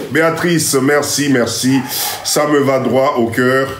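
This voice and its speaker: There is noticeable background noise and audible room echo. A man speaks with a fairly high pitch. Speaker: live stream host, community mentor. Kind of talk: live stream address to viewers. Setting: live stream on TikTok. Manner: animated.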